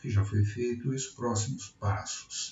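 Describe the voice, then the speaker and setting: A man's fairly low-pitched voice, very slow, with fairly even intonation. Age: 60s. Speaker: retired electrical engineer. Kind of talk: project pitch presentation.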